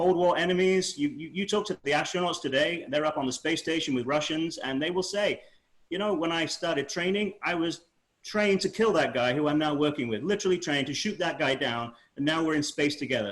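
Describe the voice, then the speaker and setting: Using a Manchester accent, a man talks at a fairly quick pace in a high pitch with ordinary pitch variation. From northern England, Manchester. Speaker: spaceflight historian author. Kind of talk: panel discussion.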